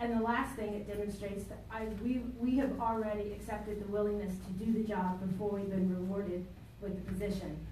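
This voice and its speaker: A woman speaks in a flat monotone over light background noise, with audible echo in the room. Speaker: political candidate. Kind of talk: candidates' forum. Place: meeting room. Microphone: camera far.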